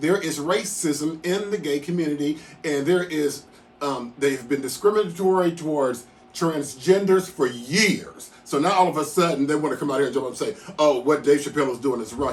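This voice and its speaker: A man speaks at a moderate pace in a fairly high pitch. His pitch varies in an ordinary way, with music in the background. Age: 60s. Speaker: commentator. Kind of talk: casual talk to camera.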